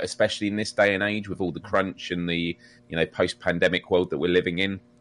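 Fairly quick speech from a man, with a quiet background. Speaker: gaming podcast co-host. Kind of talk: casual chat. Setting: live stream.

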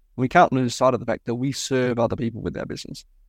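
Vocal fry marks this man's voice, and the background stays quiet. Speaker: podcast host. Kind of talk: podcast interview.

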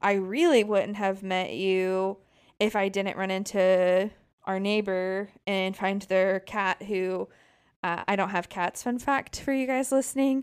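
On a very clean recording with a silent background, a normal speaking voice moves at a fairly slow pace. Its pitch variation is ordinary. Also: woman, medium pitch for a woman. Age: 20s. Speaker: podcast co-host. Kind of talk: casual chat.

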